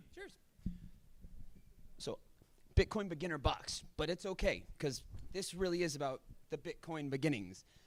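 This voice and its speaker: A man with a high pitch shows big swings in loudness. He leaves long, frequent pauses. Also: ordinary pitch variation. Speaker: conference speaker. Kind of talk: conference talk. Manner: fast.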